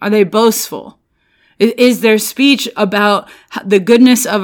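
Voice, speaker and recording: A woman speaks at a fairly slow pace in an animated tone and medium pitch. The recording is very clean, with a silent background. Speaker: bible study podcast host. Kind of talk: devotional bible teaching. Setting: solo home recording. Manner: loud.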